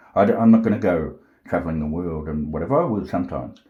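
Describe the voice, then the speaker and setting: A man's very deep, low-pitched voice with a dark, mellow tone. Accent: Australian. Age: 40s. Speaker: self-styled prophet vlogger. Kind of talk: rambling monologue. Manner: agitated, forceful.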